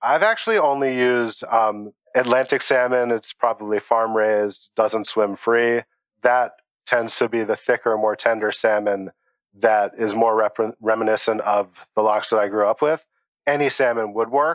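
A man with a normal speaking voice at medium pitch, moderate pace, fairly even intonation and very even loudness. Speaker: home cook, recipe submitter. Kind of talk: casual interview.

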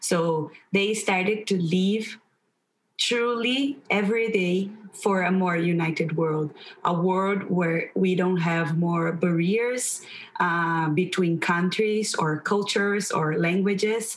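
In a Portuguese accent, a woman speaks at a very slow pace with very even loudness. Her pitch is medium, with ordinary variation. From Brazil. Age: young. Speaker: teacher. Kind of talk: interview.

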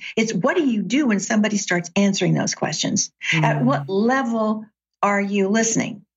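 An ordinary speaking voice with an American accent moves at a moderate pace, with lively intonation and very even loudness. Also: woman, medium pitch for a woman. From US South, Chattanooga, Tennessee. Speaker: author and executive coach. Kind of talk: interview conversation.

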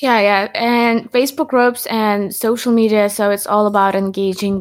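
A woman with a normal speaking voice talks at a moderate pace, her pitch fairly high and her intonation fairly even. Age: 20s. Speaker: podcast host. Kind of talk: interview.

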